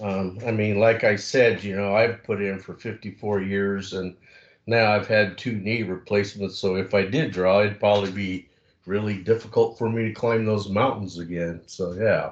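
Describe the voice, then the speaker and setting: Monotone, flat intonation in an American accent, at a moderate pace over a quiet background. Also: man, fairly low pitch for a man. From southeastern Oregon. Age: 60s. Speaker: hunter, audience member. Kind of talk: public meeting question.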